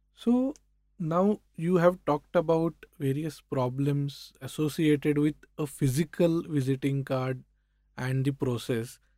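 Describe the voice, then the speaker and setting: A man with an Indian accent talks at a fairly slow pace, with a fairly high pitch and a dark, mellow tone. The sound is dry and close, without echo. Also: ordinary pitch variation. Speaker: podcast host. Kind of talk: interview. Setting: studio.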